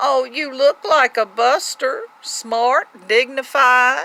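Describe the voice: A woman's put-on character voice, high-pitched with vocal fry, bright and sharp in tone, slow, with ordinary pitch variation.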